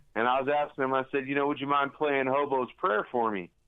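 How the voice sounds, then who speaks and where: An American accent comes through as a man talks at a fairly quick pace. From California. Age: 40s. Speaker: country musician. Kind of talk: phone interview. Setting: phone call. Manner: halting, repetitive.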